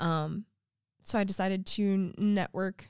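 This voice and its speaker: A woman speaks at a medium pitch with fairly even intonation, in an ordinary speaking voice. The recording is very clean, with a silent background. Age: 20s. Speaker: teacher. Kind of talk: casual chat.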